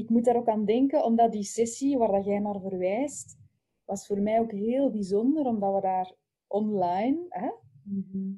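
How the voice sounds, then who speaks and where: Speaking with a Flemish accent, a woman with a fairly high pitch and ordinary pitch variation sounds somewhat breathy, her tone dark and mellow. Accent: Flemish Dutch. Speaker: festival organizer. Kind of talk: casual chat.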